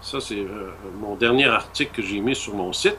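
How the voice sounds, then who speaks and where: With a Quebec accent, a man speaks at a fairly slow pace. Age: 60s. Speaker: author. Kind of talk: interview. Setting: radio show. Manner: halting.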